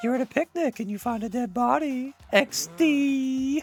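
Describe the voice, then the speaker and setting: At a moderate pace, a man performs a put-on character voice at an extremely high pitch. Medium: game stream. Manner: theatrical, upbeat explaining.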